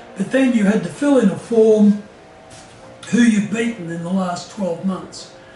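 Over music in the background, a man talks at a fairly slow pace with fairly even intonation and audible room echo. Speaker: interviewee. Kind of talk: interview answer. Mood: amused, relaxed. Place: home room.

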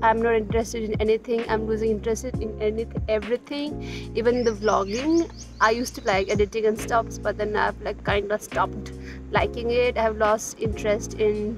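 Clear music plays behind a woman speaking at a fairly quick pace, her voice dry with no echo. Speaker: vlogger. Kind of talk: casual vlog chat. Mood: reflective, lightly self-deprecating. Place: garden. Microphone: phone near.

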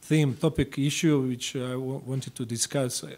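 The speaker is a man with a Croatian accent. His pitch is fairly high and his pace moderate. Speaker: government foreign affairs official. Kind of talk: diplomatic speech. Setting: congressional meeting room. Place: meeting room. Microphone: podium.

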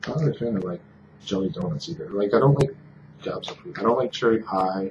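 This man speaks at a fairly low pitch with a somewhat breathy quality. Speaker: food review vlogger. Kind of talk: casual product review monologue. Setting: hot room indoors. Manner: casual, many fillers.

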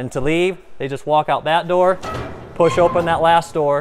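Fairly even intonation marks this man's voice. He talks at a fairly quick pace. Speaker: farm equipment guide. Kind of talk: guided tour explanation. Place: farm machine.

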